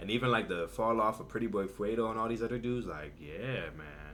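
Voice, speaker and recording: A man's fairly low voice with vocal fry and audible room echo. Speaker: YouTube reaction commentator. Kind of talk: casual reaction commentary. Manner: animated; fast.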